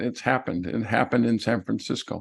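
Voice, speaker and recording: Against a quiet background, a man with an ordinary speaking voice talks with lively intonation. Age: 60s. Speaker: real estate investor and note expert. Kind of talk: presentation in an online workshop.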